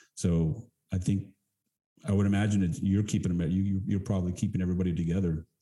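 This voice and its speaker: The voice has an American accent, a dark, mellow tone, and a somewhat breathy sound. It moves at a very fast pace with fairly even intonation and very even loudness. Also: man, very deep, low pitch for a man. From Texas. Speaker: podcast host and actor. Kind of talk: interview.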